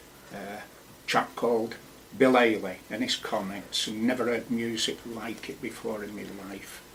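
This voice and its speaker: A man with a Lancashire accent talks at a moderate pace in a medium-pitched voice. His intonation is fairly even, his loudness swings widely, and background noise is noticeable. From northern England, Wigan and Blackpool. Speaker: poet. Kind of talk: radio interview. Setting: studio. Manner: halting.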